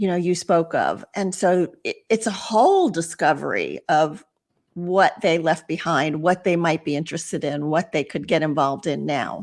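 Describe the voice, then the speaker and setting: In a normal speaking voice, a woman with fairly low pitch and ordinary pitch variation talks at a moderate pace on a very clean recording with a silent background. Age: 60s. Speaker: retirement transitions coach, podcaster. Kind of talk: podcast interview.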